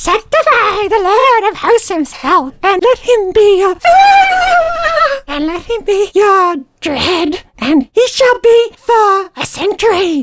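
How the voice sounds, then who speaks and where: At an extremely high pitch, the speaker does a put-on character voice at a fairly slow pace. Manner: solemn incantation.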